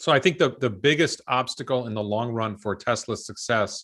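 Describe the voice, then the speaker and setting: A man's medium-pitched voice at a moderate pace, with ordinary pitch variation, against a quiet background. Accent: New York. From New York State, US. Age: 50s. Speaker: stock commentator. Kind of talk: interview.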